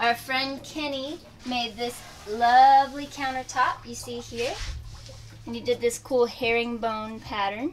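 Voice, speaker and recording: A woman speaks at a fairly slow pace with fairly even intonation over light background noise. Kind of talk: casual vlog chat. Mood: cheerful, relaxed. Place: home room.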